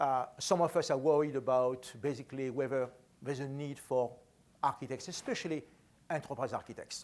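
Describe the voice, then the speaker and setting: Speaking at a fairly quick pace with a French accent, a man keeps a medium pitch and fairly even intonation in a very clean recording with a silent background. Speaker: enterprise architect, conference speaker. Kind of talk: conference talk. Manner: fast.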